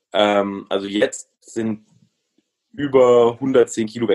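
The pitch of this man's voice is medium. His sound is dry and close, without any echo. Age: 20s. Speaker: comedian and entrepreneur. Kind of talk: casual interview. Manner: halting.

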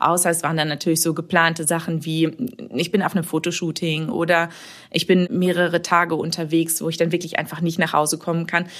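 Her fairly low-pitched voice moves at a fairly quick pace, this woman's intonation monotone and flat. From Münsterland, Germany (Warendorf). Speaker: marketing manager. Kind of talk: podcast interview.

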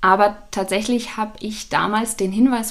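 A woman at a very slow pace, monotone and flat, with noticeable background noise. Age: 30s. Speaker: business founder. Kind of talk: interview. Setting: in person.

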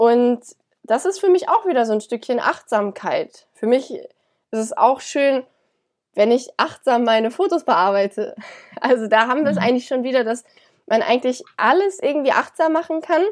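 Her pitch swings very widely. The woman's voice sits high. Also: moderate pace. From Germany, Cologne. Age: 20s. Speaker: yoga teacher and student. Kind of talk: interview.

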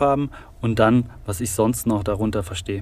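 Using an unremarkable speaking voice, a man talks at a moderate pace and medium pitch with fairly even intonation. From Saarland, Germany. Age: 20s. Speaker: construction digitalization expert. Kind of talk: interview.

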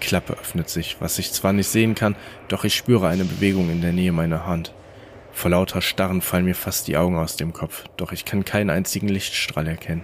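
A man talks at a fairly quick pace in a very deep, low pitch. His intonation is monotone and flat, with noticeable background noise. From Rhineland, Germany. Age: 20s. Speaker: podcast host and story narrator. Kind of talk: reading aloud horror stories.

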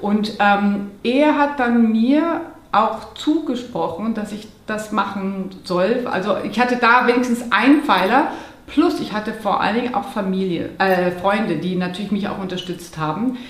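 A woman talks at a fairly slow pace and a fairly high pitch. Noticeable background noise and audible room echo surround her. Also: lively intonation. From Munich area, Bavaria. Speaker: holistic lifestyle coach. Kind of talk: interview.

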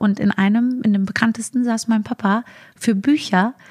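Somewhat breathy and with fairly even intonation, a woman speaks at a moderate pace in a dry, close sound with no echo. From Germany, Frankfurt area. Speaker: comedian. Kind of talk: podcast interview.

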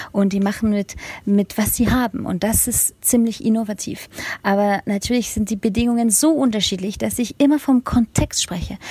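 A woman's fairly high voice shows ordinary pitch variation against noticeable background noise. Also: moderate pace. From Germany and France. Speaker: education consultant and startup founder. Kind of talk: interview. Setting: remote call. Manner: hesitant, many fillers.

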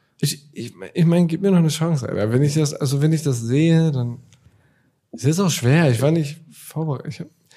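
At a fairly quick pace, the voice has a dark, mellow tone, is somewhat breathy, and shows ordinary pitch variation. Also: man, fairly high pitch for a man. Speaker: podcast co-host. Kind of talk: casual chat.

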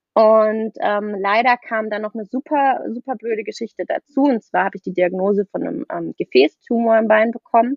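With an ordinary speaking voice, a woman talks at a moderate pace. Her pitch is fairly high. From southwest Germany, near Freiburg. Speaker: nutrition coach. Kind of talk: casual podcast interview.

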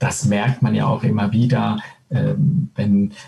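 Somewhat breathy with a dark, mellow tone, a man speaks in a medium pitch at a fairly slow pace. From Switzerland. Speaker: former handball player and coach. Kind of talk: casual interview. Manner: hesitant, many filler sounds.

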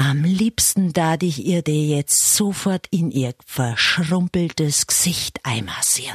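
A woman with a Bavarian accent speaks very slowly, with hardly any pauses, lively intonation, and very even loudness. The sound is dry and close, with no echo. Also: fairly low pitch for a woman. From Upper Palatinate, eastern Bavaria. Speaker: radio host. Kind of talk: comedic monologue.

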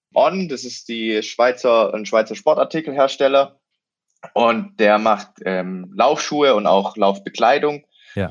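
At a very slow pace, a man speaks in a medium pitch with lively intonation. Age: 20s. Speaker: student and triathlete. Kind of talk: interview.

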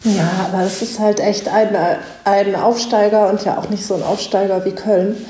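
A woman speaks at a moderate pace with a medium pitch and a monotone, flat delivery. The room echo is audible and background noise is noticeable. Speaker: sports reporter. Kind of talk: casual football analysis chat.

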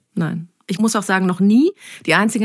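The recording is very clean and the background silent. A woman talks at a fairly quick clip. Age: 30s. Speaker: journalist. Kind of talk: podcast interview.

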